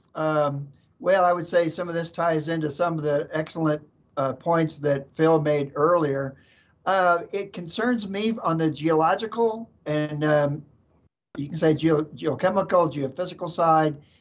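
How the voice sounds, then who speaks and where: Music plays in the background as a man talks. His pace is fairly slow, with ordinary pitch variation. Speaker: panelist. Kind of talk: interview answer. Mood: calm, thoughtful. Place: office. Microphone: video call.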